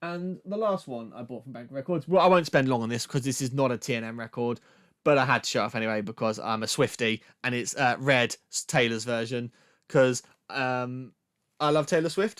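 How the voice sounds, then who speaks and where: A man with a British accent speaks at a medium pitch with ordinary pitch variation, recorded very cleanly against a silent background. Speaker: music podcast host, record collector. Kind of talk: casual show-and-tell monologue. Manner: fast; casual, filler-heavy.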